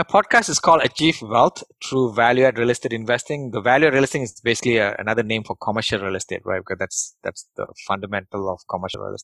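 A man's very fast speech at a medium pitch, with ordinary pitch variation and hardly any pauses. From Malaysia. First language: not English (English is his third language). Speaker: real estate investor. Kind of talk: interview.

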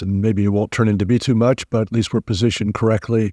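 A man's unremarkable speaking voice, an unremarkable speaking voice, fairly low in pitch, with fairly even intonation at a fairly quick pace. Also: dry, close sound with no echo, very clean recording, silent background. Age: 60s. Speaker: ETF trend following fund manager. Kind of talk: casual interview chat.

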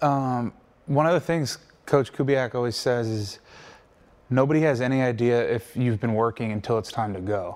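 Here is a man with an unremarkable speaking voice at medium pitch. He keeps a moderate pace and ordinary pitch variation. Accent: American. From US Mid-Atlantic, Wilmington, Delaware. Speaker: pro football player. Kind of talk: casual interview chat.

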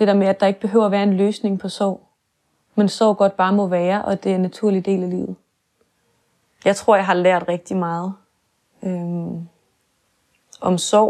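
A woman's medium-pitched voice with a dark, mellow tone, monotone and flat, at a fairly slow pace with long, frequent pauses. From Denmark, near Kalundborg. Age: 20s. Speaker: theology student, daughter of parent with MS. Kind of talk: personal testimony interview. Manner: hesitant.

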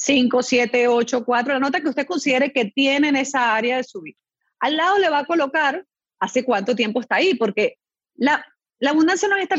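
A woman with a high pitch and lively intonation speaks at a fairly quick pace, the sound dry and close with no echo. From Venezuela (born in Chile). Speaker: mindset coach and speaker. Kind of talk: interview. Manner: animated.

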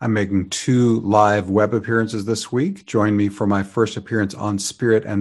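With an unremarkable speaking voice, a man talks at a moderate pace and fairly low pitch, his intonation fairly even over a quiet background. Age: 60s. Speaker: astrologer podcast host. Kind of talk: scripted forecast narration.

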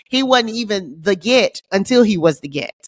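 A woman with a normal speaking voice talks at a fairly quick pace with lively intonation. The sound is dry and close with no echo, on a very clean recording with a silent background. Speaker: podcast co-host and comedian. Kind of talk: casual chat.

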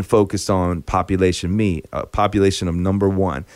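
A man speaks in an American accent at a moderate pace, with a normal speaking voice. The recording is very clean, with a silent background. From US Midwest, Chicago. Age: 40s. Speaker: singer-songwriter. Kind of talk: casual interview chat.

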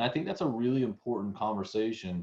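A man with an American accent, fairly quick pace, ordinary pitch variation and a quiet background. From US South. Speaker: podcast host. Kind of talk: interview wrap-up, casual conversation.

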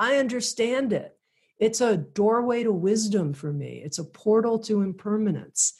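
With an ordinary speaking voice, a woman talks at a moderate pace in an American accent. Her pitch is fairly high and her intonation lively. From US South, Miami, Florida. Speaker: spiritual publisher and podcast host. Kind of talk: interview.

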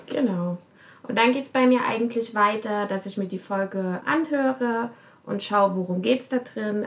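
This woman has a normal speaking voice at a medium pitch. She talks at a moderate pace with lively intonation. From Germany. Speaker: research assistant and podcast producer. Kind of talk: casual chat.

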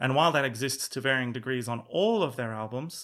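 A man's medium-pitched voice with an Australian accent, a bright, sharp tone, and a fairly quick pace, on a very clean recording with a silent background. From rural Australia. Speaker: musician and former music journalist. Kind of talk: casual chat.

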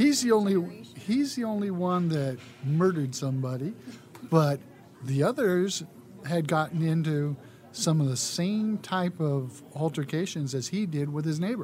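The speaker has an unremarkable speaking voice. The pace is moderate. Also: man, fairly high pitch for a man. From US West, California (San Leandro area). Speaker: former city council member. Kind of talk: interview.

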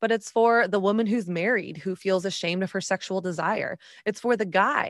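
In a very clean recording with a silent background and a dry, close sound with no echo, a woman with a plain, everyday voice speaks at a medium pitch, a moderate pace and fairly even intonation. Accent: American. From Texas. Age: 30s. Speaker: author and podcast host. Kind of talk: interview.

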